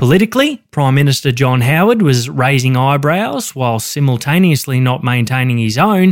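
A man with an Australian accent speaks at a fairly high pitch and a moderate pace. His intonation is lively, with hardly any pauses. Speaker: true crime podcast co-host. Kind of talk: scripted true crime narration.

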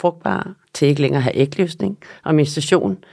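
On a very clean recording with a silent background, a woman with a very deep, low pitch and a dark, mellow tone speaks with ordinary pitch variation. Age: 50s. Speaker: nutrition therapist and yoga instructor. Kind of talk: interview.

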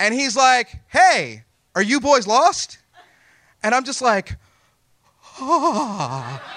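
Raised and projected, a man's voice with a bright, sharp tone and extremely high pitch moves at a very slow pace with lively intonation and long, frequent pauses. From Texas. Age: 40s. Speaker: storyteller. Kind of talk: live storytelling. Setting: stage with audience.

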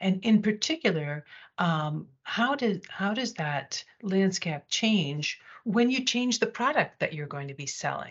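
A woman with an American accent speaks fairly slowly in a somewhat breathy, medium-pitched voice with very wide pitch swings. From United States. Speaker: corporate communications executive. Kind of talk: interview. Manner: hesitant, many fillers.

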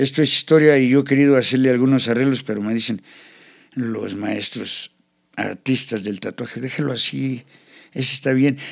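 A man has a normal speaking voice at a medium pitch, talking at a moderate pace with fairly even intonation. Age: 60s. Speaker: tattoo artist. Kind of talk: life story interview.

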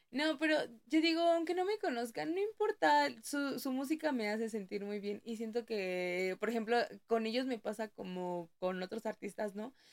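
Her fairly high voice moves through very wide pitch swings. The woman keeps a moderate pace. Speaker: podcast co-host. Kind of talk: casual chat. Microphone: new microphone.

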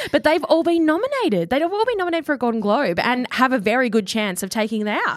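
Very fast speech in an Australian accent, with very wide pitch swings and hardly any pauses. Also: woman, high pitch for a woman. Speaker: podcast co-host. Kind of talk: casual chat.

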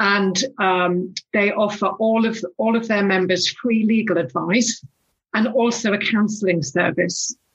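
Medium in pitch and somewhat breathy, a woman speaks at a fairly slow pace. Her loudness stays very even, with ordinary pitch variation. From northeast England. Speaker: former music industry executive. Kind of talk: casual interview chat. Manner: halting.

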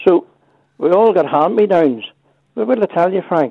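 Speaking with a Northern Irish accent, a man talks at a fairly quick pace with lively intonation. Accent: rural Northern Irish. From Northern Ireland. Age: 60s. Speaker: caller. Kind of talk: radio phone-in chat. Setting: phone call. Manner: animated.

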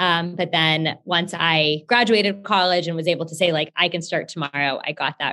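Bright, sharp voice with an American accent and a fairly quick pace. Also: woman. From Texas, Houston. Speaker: company founder. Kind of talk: interview.

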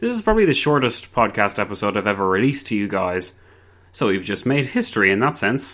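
At a fairly quick pace, a man with an ordinary speaking voice talks in a medium pitch with ordinary pitch variation. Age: 20s. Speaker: history podcast host. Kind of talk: podcast monologue.

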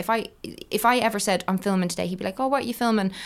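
Recorded very cleanly over a silent background, a woman with an Irish accent speaks with ordinary pitch variation. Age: 30s. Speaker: online content creator and author. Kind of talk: casual interview chat.

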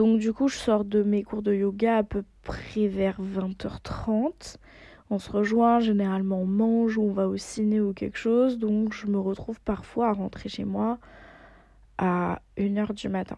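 A woman speaks at a very slow pace, her pitch medium. Her tone is dark and mellow, and her intonation is monotone and flat. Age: 20s. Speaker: podcast host. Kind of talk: casual monologue.

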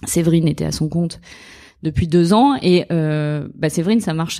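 A woman speaks at a moderate pace with a fairly low pitch, ordinary pitch variation and a dark, mellow tone. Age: 30s. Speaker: lawyer. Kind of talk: interview. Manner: halting.

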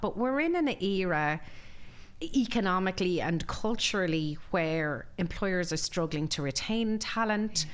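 The speaker has a western Irish accent and lively intonation. Audible room echo surrounds the voice. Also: woman. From Ireland, Galway. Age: 40s. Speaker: employment lawyer. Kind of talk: interview.

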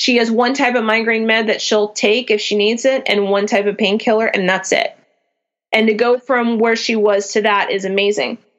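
Her intonation fairly even and her pitch fairly high, a woman talks in an unremarkable speaking voice. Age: 30s. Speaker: small business founder with chronic migraines. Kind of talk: casual interview chat.

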